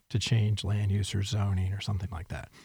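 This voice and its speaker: A man with a dark, mellow, somewhat breathy voice at a fairly quick pace, in a very clean recording with a silent background. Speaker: economic development leader. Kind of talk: interview.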